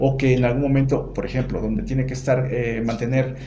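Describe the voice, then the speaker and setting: A medium-pitched male voice at a moderate pace, with audible room echo. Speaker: psychologist podcast host. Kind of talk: casual chat.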